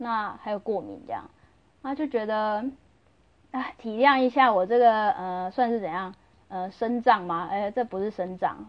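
A loud woman with a fairly high pitch talks at a moderate pace with ordinary pitch variation. She leaves long, frequent pauses. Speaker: podcaster. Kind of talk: casual monologue. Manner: normally loud; normally lively.

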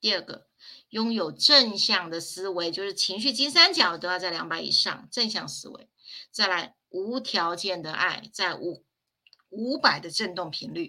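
Bright and sharp in tone, a woman speaks at medium pitch with lively intonation and big swings in loudness. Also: fairly slow pace. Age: 50s. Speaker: spiritual teacher. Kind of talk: livestream lecture.

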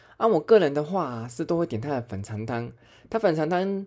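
Over a quiet background, a man with a Taiwanese accent talks very fast in a fairly high, dark, mellow voice with lively intonation. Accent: Taiwanese Mandarin. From Taiwan, Chiayi. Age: middle-aged. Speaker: podcast host. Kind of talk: casual monologue.

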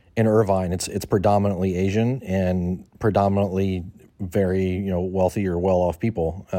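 A man with a General American accent speaks at a moderate pace in a very deep, low pitch. His delivery is monotone and flat, with a dark, mellow tone. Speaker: guest interviewee. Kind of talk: casual interview.

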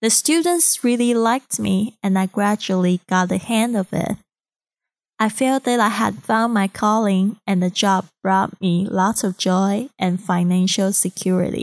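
A woman speaks at a fairly slow pace with ordinary pitch variation. The recording is very clean and dry, close with no echo, over a silent background. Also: medium pitch for a woman, very even loudness. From Taiwan (Kaohsiung). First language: Mandarin Chinese. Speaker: podcast host, English teacher. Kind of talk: podcast monologue; recorded speech to a club.

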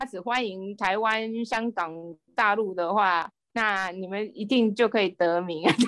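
With an unremarkable speaking voice, this woman keeps a medium pitch, a fairly slow pace and fairly even intonation. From Taiwan. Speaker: guest living abroad. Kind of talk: casual interview. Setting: remote call.

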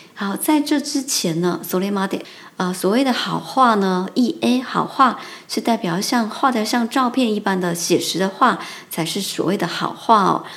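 A woman talks at a very slow pace with lively intonation. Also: medium pitch for a woman. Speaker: Japanese language teacher. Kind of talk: language lesson. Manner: halting.

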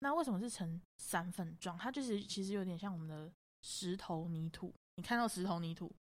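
A woman with an unremarkable speaking voice talks at a fairly quick pace, at medium pitch with ordinary pitch variation. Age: 20s. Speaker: makeup artist and photographer. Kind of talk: casual chat.

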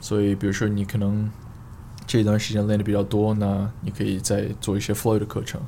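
The man's intonation is monotone and flat. He talks at a fairly quick pace. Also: fairly low pitch for a man. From Australia, Queensland (Sunshine Coast). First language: English (speaking Chinese). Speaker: fitness coach and fitness blogger. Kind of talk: casual interview chat. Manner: halting, many fillers and code-switching to English.

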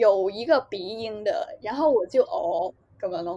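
A woman's fairly high voice in a Hong Kong accent, lively in intonation and very slow in pace. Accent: Hong Kong, lazy Cantonese pronunciation. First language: Cantonese (speaking Chinese). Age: young. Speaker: podcast co-host. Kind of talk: casual chat.

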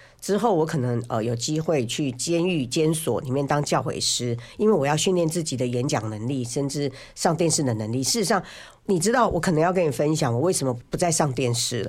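The speaker talks at a fairly quick pace. The recording is very clean, with a silent background. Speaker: biographer and former financial journalist. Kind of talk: casual chat. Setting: studio. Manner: talkative, loud.

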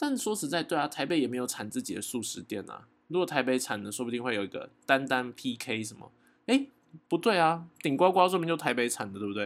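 Speaking with a plain, everyday voice, a man with fairly high pitch moves at a fairly quick pace, his intonation lively and his loudness swinging widely, in a very clean recording over a silent background. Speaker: daily podcast host. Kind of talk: casual monologue. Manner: chatty with many fillers.

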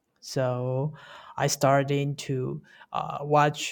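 A woman with a Taiwanese accent has a very deep, low pitch. She speaks at a very slow pace on a very clean recording with a silent background. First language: Mandarin Chinese. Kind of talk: casual interview chat. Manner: halting, with many fillers.

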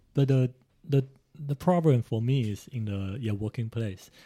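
Somewhat breathy with a dark, mellow tone, a man speaks on a very clean recording with a silent background. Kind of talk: casual interview chat.

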